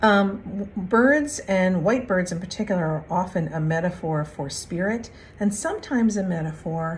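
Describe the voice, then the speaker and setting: Audible room echo rings around a woman whose intonation is lively. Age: 60s. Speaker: spiritual card reader. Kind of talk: spiritual reflection monologue. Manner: casual, with frequent fillers.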